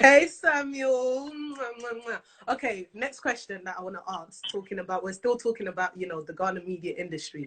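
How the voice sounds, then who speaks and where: With a London accent, a woman talks at a fairly quick pace in a fairly high pitch, her pitch swinging very widely and her loudness rising and falling sharply. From London, England. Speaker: talk show host. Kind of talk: live interview chat. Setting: live video stream. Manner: animated.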